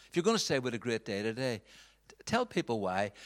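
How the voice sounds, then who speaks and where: A man with a Northern Irish accent, very fast delivery and very wide pitch swings. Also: very clean recording, silent background. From Northern Ireland, Belfast. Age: 40s. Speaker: pastor. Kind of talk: talk to church audience. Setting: stage with audience. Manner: halting.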